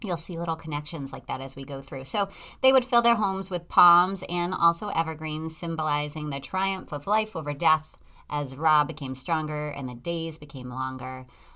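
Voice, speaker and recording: In a Boston accent, a woman speaks with a very deep, low pitch and a bright, sharp tone. Her intonation is lively, her loudness swings widely, and the recording is very clean with a silent background. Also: moderate pace. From Massachusetts, US. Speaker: podcast host. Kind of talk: casual chat.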